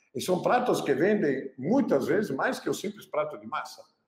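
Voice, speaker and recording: At a moderate pace, a man with a Pernambuco accent speaks with very wide pitch swings. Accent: Pernambuco, Brazil. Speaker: chef, cooking channel host. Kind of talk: casual talk to camera, business tips.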